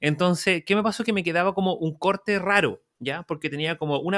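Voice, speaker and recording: A man speaks at a fairly quick pace in a bright, sharp tone with ordinary pitch variation. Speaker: interior designer and podcast co-host. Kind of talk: casual chat.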